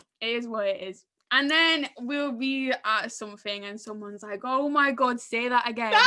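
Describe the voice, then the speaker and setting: A high-pitched woman speaks at a moderate pace with ordinary pitch variation and big swings in loudness. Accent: northern English. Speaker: podcast host. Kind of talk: live podcast panel chat. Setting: live podcast event with audience.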